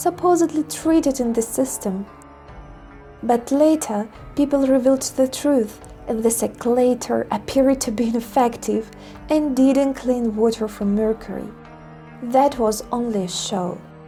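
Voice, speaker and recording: A woman's high-pitched voice with a non-native accent, fairly slow and with ordinary pitch variation, over music in the background. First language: not English. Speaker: environmental film reviewer. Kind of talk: video essay narration.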